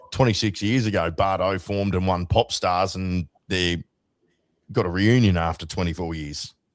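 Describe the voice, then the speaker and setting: With an Australian accent, a man speaks at a moderate pace in a very deep, low pitch with ordinary pitch variation. The recording is very clean, with a silent background. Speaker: radio host. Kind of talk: casual chat.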